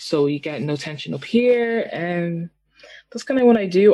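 A woman with an Irish accent speaks in a fairly low voice with a dark, mellow tone. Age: 20s. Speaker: singer-songwriter. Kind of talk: casual interview.

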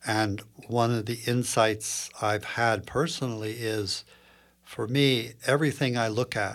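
A man with a normal speaking voice and an American accent, medium pitch, fairly even intonation and a fairly slow pace. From US Northeast, Princeton, New Jersey. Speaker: clinical psychologist and yoga teacher. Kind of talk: podcast interview.

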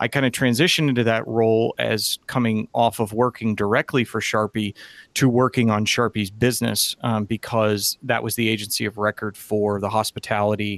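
A man's fairly low, monotone voice with flat intonation at a moderate pace, dry and close with no echo, on a very clean recording with a silent background. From Massachusetts. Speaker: sports venue marketing executive. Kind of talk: interview.

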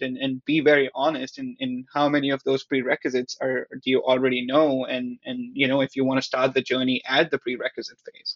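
At a fairly quick pace, a man speaks in a plain, everyday voice with a fairly high pitch. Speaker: product manager. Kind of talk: casual chat.

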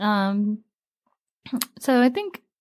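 A woman with an American accent. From New York City, the Bronx. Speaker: singer-songwriter. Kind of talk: interview.

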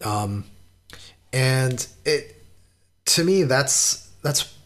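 A man is talking here. There is some breathiness to his voice. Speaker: metal podcaster and journalist. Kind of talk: interview.

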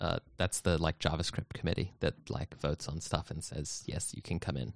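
Very deep and low in pitch with vocal fry, a man talks at a fairly quick pace with ordinary pitch variation, in a dry, close sound with no echo. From United States. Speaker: software developer, podcast co-host. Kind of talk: casual chat. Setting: video call.

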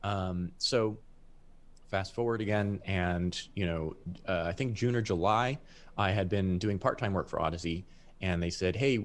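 The speaker has a normal speaking voice and ordinary pitch variation. The pace is moderate, and the background is quiet. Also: man. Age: 20s. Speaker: headphone industry professional. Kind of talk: casual interview. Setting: live stream.

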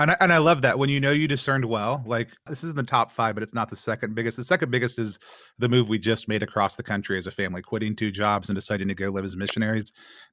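A man with an American accent, medium in pitch with ordinary variation, bright and sharp in tone, very fast with hardly any pauses, on a very clean recording with a silent background. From Texas. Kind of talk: casual chat.

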